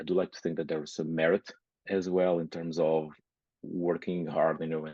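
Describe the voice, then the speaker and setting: Speaking with a Portuguese accent, a man with a very deep, low voice moves at a moderate pace with fairly even intonation. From Portugal. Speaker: nurse and business owner. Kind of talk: interview. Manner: halting, many fillers.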